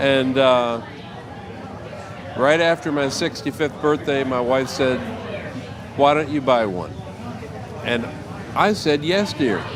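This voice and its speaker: A man with an American accent speaks very slowly at a fairly high pitch, with ordinary pitch variation, long, frequent pauses, audible room echo and noticeable background noise. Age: 60s. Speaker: military veteran and trike rider. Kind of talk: casual interview.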